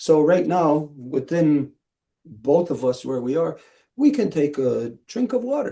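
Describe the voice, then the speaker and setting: At a very slow pace, a man with a dark, mellow tone speaks at a fairly high pitch with lively intonation. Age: 60s. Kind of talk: spiritual teaching. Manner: slow, paused for interpretation.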